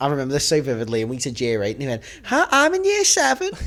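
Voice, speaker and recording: Talking at a very fast pace with a Liverpool accent, a man with a fairly high pitch is heard over noticeable background noise. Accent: Scouse. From Liverpool, England. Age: 20s. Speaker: podcast co-host. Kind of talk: casual chat.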